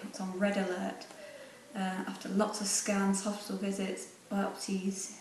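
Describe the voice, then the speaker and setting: A woman speaks at a fairly slow pace with an English accent. The recording carries noticeable background noise and audible room echo. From England. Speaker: pageant contestant. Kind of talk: video selfie testimony. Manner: hesitant with fillers.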